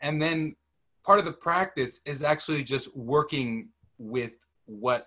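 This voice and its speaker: Fairly high in pitch, a man speaks with a bright, sharp tone. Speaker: meditation group facilitator. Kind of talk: casual group discussion. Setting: video call.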